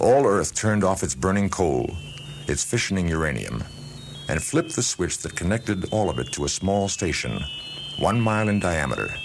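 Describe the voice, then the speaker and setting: A man speaks at a moderate pace in a very deep, low voice with very wide pitch swings, with noticeable background noise behind him. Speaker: audiobook narrator. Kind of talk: audiobook narration of a science fiction story.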